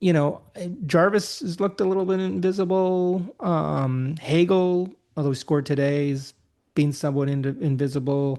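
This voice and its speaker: The voice has a dark, mellow tone and ordinary pitch variation at a moderate pace. The background is quiet. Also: man, fairly high pitch for a man. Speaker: hockey podcast co-host. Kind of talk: casual chat. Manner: slightly slurred.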